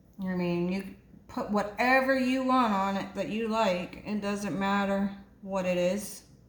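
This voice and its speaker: A woman with a medium pitch speaks at a fairly slow pace with ordinary pitch variation, her voice carrying audible room echo over noticeable background noise. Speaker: home cooking video host. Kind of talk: cooking tutorial. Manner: sometimes quiet, lowers voice; casual, hesitant with fillers.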